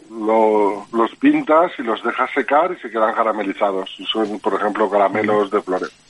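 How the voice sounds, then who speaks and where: A man talks at a moderate pace with hardly any pauses, his pitch fairly low. His pitch varies in an ordinary way, and he has a plain, everyday voice. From Alzira, Valencia, Spain. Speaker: edible flower grower, former cook. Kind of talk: interview.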